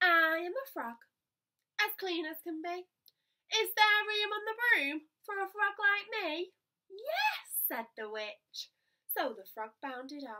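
The voice is bright and sharp in tone, raised and projected, moving at a very slow pace in a sing-song way with very wide pitch swings and long, frequent pauses. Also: woman, extremely high pitch for a woman, big swings in loudness, quiet background. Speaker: primary school teacher. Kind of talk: bedtime story reading aloud. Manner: animated, expressive; rhythmic, sing-song rhyming cadence. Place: home room. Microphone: phone near.

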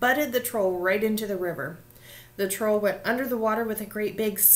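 The text is read aloud in a natural voice, its pitch varying in an ordinary way.

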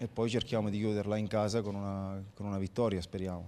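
Fairly low male pitch with a dark, mellow tone and light background noise. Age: 30s. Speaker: professional footballer. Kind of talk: post-match interview. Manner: halting, many fillers and repetitions. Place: stadium. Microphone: handheld.

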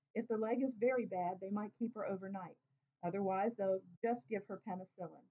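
An unforced reading voice carries the clip. The background is quiet.

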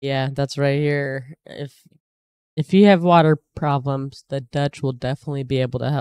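A woman with a very deep, low pitch and a dark, mellow tone talks at a moderate pace with fairly even intonation, the sound dry with no echo over a quiet background. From United States. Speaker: YouTube reaction video host; reaction creator. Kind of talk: casual reaction commentary. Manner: hesitant, many fillers. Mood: amazed, interested. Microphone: studio mic.

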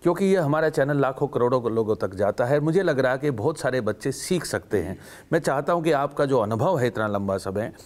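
Lively intonation marks this man's speech. He keeps a moderate pace with hardly any pauses. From Haryana. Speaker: TV interview host. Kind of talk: show intro and outro; interview conversation. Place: studio. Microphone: lapel.

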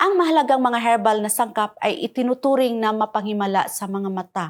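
A woman with a normal speaking voice, fairly high pitch, lively intonation and moderate pace, on a very clean recording with a silent background. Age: 50s. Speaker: product testimonial giver. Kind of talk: scripted testimony.

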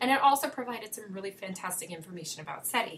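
The speech moves at a very fast pace with ordinary pitch variation. Noticeable background noise sits behind it. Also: woman. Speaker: podcast co-host. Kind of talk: casual conversation about books and film. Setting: studio.

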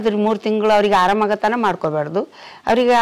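A woman's voice with a fairly high pitch. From Kalaburagi district, north Karnataka; Karnataka. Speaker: traditional village herbal healer. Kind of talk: interview answers. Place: street. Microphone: lapel.

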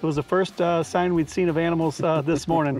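Over faint music in the background, a man talks at a fairly quick pace with fairly even intonation, the sound dry with no echo. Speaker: guest. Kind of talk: interview answer. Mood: warm, reflective. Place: garden. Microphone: lapel.

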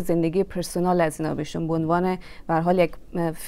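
This woman talks fairly quickly, her tone dark and mellow. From Afghanistan. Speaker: singer and composer; interview guest. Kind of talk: interview. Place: studio. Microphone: lapel.

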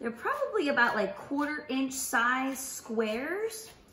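Talking at a fairly slow pace, a woman is heard with audible room echo and light background noise. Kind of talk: tutorial. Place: kitchen. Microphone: camera far.

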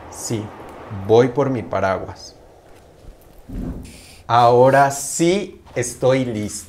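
Speaking at a very slow pace with long, frequent pauses, a man shows ordinary pitch variation over light background noise. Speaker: actor in a language lesson skit. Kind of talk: scripted slow conversation for learners.

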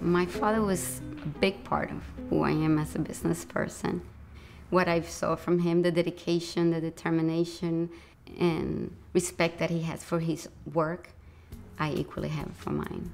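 With faint music in the background, a woman speaks at a moderate pace. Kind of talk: interview answer. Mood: warm, reflective. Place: shop.

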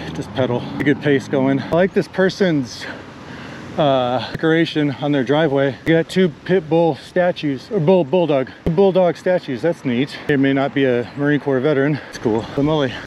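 There's light background noise, and the sound is dry with no echo. A man talks at a moderate pace with ordinary pitch variation. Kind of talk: casual vlog chat. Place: bicycle. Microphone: camera far.

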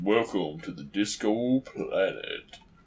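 A man does a put-on character voice at a medium pitch and a fairly slow pace. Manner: booming, welcoming.

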